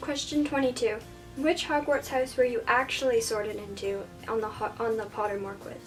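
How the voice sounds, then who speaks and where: Soft-spoken and fairly high-pitched, a woman talks with ordinary pitch variation while music plays in the background. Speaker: book reviewer. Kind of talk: casual talk to camera, book tag answers. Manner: shy, soft-spoken.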